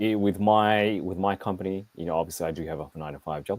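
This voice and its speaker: In an Australian accent, a man with a very deep, low pitch talks at a very fast pace with ordinary pitch variation. The recording is very clean, with a silent background. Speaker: action figure reviewer. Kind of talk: casual live stream chat. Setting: live stream.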